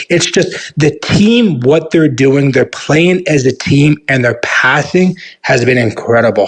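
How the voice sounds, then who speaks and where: The voice is somewhat breathy, with lively intonation and very even loudness. It moves at a fairly slow pace with hardly any pauses. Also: man, fairly high pitch for a man. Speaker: sports show host. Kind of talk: casual talk show interview.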